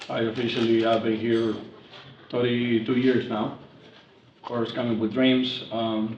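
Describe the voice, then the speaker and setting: With audible room echo and noticeable background noise, a man in a Spanish accent talks in a medium pitch with a monotone, flat intonation. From Mexico. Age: 40s. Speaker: construction company president. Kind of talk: casual dinner-table conversation.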